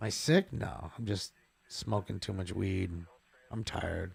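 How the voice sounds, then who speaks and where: A somewhat breathy man with an American accent. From Los Angeles, California. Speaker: livestreamer narrating police scanner chases. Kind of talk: casual live-stream chat.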